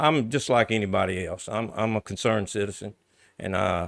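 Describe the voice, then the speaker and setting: Here a man talks at a moderate pace in a fairly low pitch, an ordinary speaking voice. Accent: American. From US South, central Louisiana. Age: 60s. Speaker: local politician. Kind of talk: interview.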